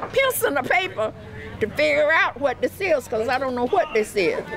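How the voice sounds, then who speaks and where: A woman with a high pitch talks at a moderate pace, her pitch swinging very widely. Background noise is noticeable. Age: 80s+. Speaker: homeowner helped by a charity. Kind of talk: interview testimony.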